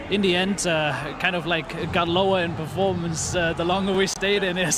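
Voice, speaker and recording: Over noticeable background noise and audible room echo, a man with a high voice speaks at a moderate pace in a monotone, flat intonation, with very even loudness and hardly any pauses. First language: German. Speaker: esports coach. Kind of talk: post-match interview. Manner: halting.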